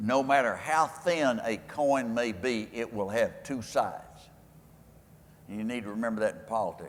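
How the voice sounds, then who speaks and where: At a moderate pace, a man speaks in a medium pitch with a West Texas accent and ordinary pitch variation. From West Texas, Lubbock. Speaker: former politician and keynote speaker. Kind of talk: speech Q&A with anecdotes. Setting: stage with audience at a convention. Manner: folksy storytelling.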